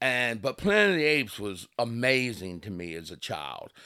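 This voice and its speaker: A man speaks with an Eastern Shore Maryland accent and very wide pitch swings. The recording is very clean, with a silent background. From Delmarva, Kent Narrows, Maryland. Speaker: author. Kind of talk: interview conversation.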